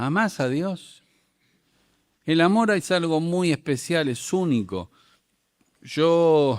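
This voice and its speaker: His intonation lively, a man is captured on a very clean recording against a silent background. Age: 60s. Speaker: preacher. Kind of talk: sermon. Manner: animated.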